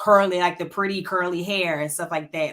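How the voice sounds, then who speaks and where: Speaking in an Alabama accent, a woman talks at a fairly quick pace in a monotone, flat intonation. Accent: Southern US (Alabama). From US South, Montgomery, Alabama. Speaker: panelist. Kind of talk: panel discussion.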